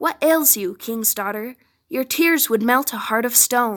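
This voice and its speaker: A woman uses a put-on character voice, high in pitch, at a moderate pace. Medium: read story. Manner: insistent.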